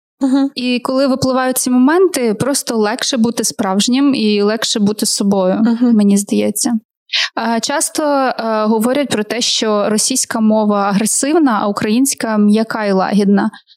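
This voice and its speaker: A woman's fairly high-pitched voice, a plain, everyday voice, at a moderate pace with ordinary pitch variation. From Ukraine, Kharkiv. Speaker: podcast host. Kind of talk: casual interview. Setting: studio.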